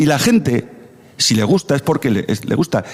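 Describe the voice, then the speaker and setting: A man's fairly high voice at a fairly quick pace, full of very wide pitch swings, over noticeable background noise. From Navarre, Spain (Tudela area). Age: 60s. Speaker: radio debate panelist. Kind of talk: radio debate.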